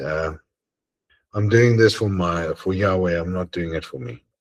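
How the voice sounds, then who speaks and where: A man speaks at a moderate pace with a South African accent, his somewhat breathy voice showing ordinary pitch variation in a dry, close recording with no echo. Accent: South African Afrikaans English. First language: Afrikaans. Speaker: religious study group leader. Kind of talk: casual chat. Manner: halting.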